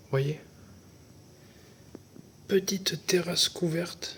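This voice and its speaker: This man is soft-spoken. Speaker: travel vlogger. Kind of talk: casual vlog narration.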